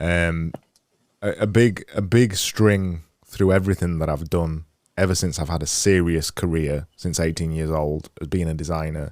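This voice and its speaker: A man with a Yorkshire accent, a very deep, low pitch and fairly even intonation, on a very clean recording with a silent background. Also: moderate pace. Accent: Yorkshire, clipped. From Yorkshire, northern England. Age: 30s. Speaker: podcast host. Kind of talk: interview conversation. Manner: halting.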